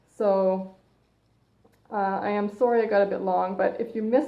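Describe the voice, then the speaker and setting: With a Canadian accent, a woman talks at a moderate pace in a monotone, flat intonation, with audible room echo. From Canada. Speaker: personal trainer. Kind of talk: live stream talk. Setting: Facebook live broadcast. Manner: loud. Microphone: phone mic, hard to hear.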